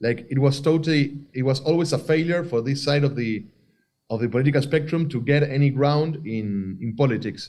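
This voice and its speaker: A man with an Argentine accent, fairly high-pitched, with a dark, mellow tone, ordinary pitch variation and a fairly quick pace. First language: Spanish. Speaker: filmmaker. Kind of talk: interview. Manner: halting, many fillers and restarts.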